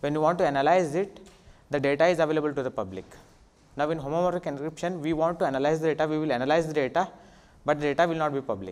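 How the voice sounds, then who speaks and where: Speaking at a very fast pace with an Indian accent, the voice shows ordinary pitch variation. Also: man. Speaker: assistant professor. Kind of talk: conference talk. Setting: stage with audience. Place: hall. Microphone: handheld.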